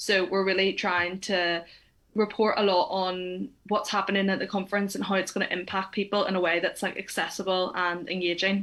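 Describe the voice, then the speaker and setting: With a Northern Irish accent, a woman talks at a fairly quick pace in a medium pitch, her intonation monotone and flat and her loudness very even. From Northern Ireland. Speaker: climate reporter. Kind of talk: webinar interview.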